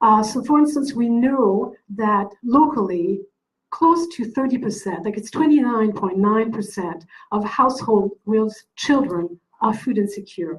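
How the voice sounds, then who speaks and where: Speaking at a fairly slow pace, a woman with a French accent uses a fairly high pitch. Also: lively intonation. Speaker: event organizer introducing speaker. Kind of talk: event introduction.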